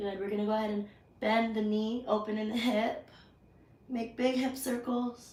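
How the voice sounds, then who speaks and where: In a room with audible echo, a woman talks at a moderate pace in a fairly high pitch with monotone, flat intonation. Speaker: yoga instructor. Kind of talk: guided yoga class. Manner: projecting voice louder. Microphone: mic died, no microphone, may be hard to hear.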